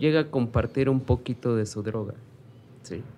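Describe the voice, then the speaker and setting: Pitch moves in an ordinary way for this man. It sits at a medium level. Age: 40s. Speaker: former street youth, book co-author. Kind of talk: interview testimony. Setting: studio.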